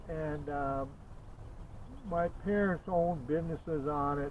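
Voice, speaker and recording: A man's fairly high voice with an American accent, at a moderate pace, amid audible room echo. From US Midwest, Upper Peninsula of Michigan. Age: 70s. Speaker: YouTuber. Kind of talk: personal storytelling monologue. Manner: halting, many fillers and repetitions.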